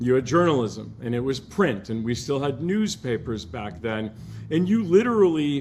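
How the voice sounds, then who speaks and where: Speaking at a moderate pace, this voice swings very widely in pitch. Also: man, medium pitch for a man. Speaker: alumnus and journalist. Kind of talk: podcast interview.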